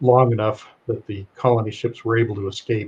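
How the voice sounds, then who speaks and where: The voice is somewhat breathy, moving at a moderate pace with monotone, flat intonation. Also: man. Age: 70s. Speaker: retired pilot and spiritual speaker. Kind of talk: interview storytelling. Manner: halting, many fillers.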